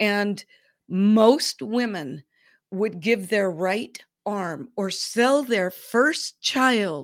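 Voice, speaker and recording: Her fairly high pitch, animated tone and lively intonation stand out as a woman speaks in a very clean recording with a silent background. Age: 60s. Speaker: podcast host and coach for financial advisors. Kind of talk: casual chat.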